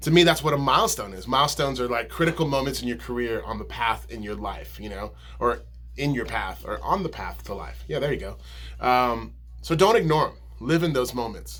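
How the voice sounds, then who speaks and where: A man talks at a fairly quick pace, his loudness swinging widely, with audible room echo. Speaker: musician and video blogger. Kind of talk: casual vlog monologue. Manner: mumbling; casual, many fillers.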